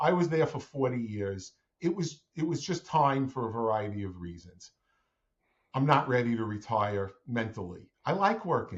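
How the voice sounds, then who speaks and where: A man talks at a moderate pace and medium pitch, somewhat breathy. His pitch swings very widely. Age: 60s. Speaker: franchise owner, former family business owner. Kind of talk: interview podcast.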